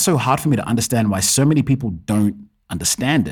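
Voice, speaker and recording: The voice is somewhat breathy and moves at a fairly quick pace. Its pitch swings very widely. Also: man. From Kenya. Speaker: podcast host. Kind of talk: solo podcast monologue.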